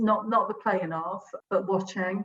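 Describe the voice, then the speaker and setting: A woman is talking. Her voice is medium in pitch. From South West England, Bristol. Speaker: head of a football club community programme. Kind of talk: podcast interview.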